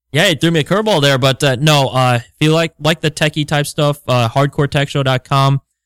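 A man with a plain, everyday voice talks at a fairly high pitch and a fairly quick pace, with hardly any pauses and fairly even intonation, though his loudness swings a lot. The recording is very clean and silent behind him, with a dry, close sound and no echo. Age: 30s. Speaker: wrestling podcast co-host. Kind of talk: casual chat.

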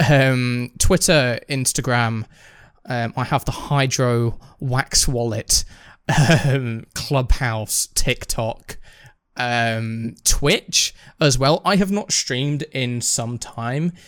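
Very clean and silent in the background, this recording has a man speaking with a British accent. His medium-pitched voice moves at a very slow pace with ordinary pitch variation. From Britain. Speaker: podcast co-host. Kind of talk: casual chat.

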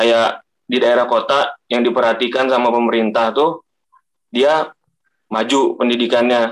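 Here a man talks at a fairly slow pace, his loudness very even and his intonation monotone and flat. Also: medium pitch for a man. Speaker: university student.

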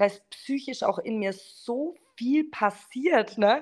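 A woman speaks in a Franconian accent. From Franconia, near Bamberg. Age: 30s. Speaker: network marketer. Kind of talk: casual interview.

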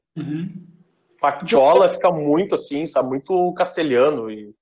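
At a fairly slow pace, a man talks in a fairly high voice. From Rio Grande do Sul, Brazil. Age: 30s. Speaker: web radio founder. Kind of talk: casual chat.

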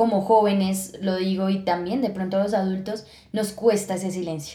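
This woman has a dark, mellow tone. She talks at a fairly quick pace. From Colombia, Villeta (Cundinamarca). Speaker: podcast co-host. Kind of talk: casual chat. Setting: studio.

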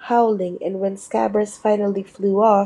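A natural reading voice, its intonation fairly even.

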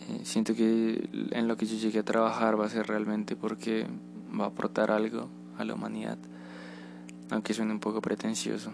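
A man keeps a moderate pace but leaves long, frequent pauses, with music playing behind him. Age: 20s. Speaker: podcaster. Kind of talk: personal reflection monologue.

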